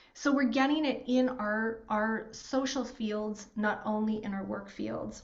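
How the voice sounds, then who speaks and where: A woman with a Canadian accent, fairly high in pitch and somewhat breathy, fairly slow with hardly any pauses and fairly even intonation, amid audible room echo. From rural Alberta, Canada. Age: 40s. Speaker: workshop host, financial firm co-founder. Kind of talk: online workshop facilitation.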